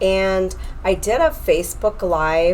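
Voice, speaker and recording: A woman is speaking. Her pace is very slow. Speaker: online health and fitness coach. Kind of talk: podcast tutorial. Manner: casual, chatty.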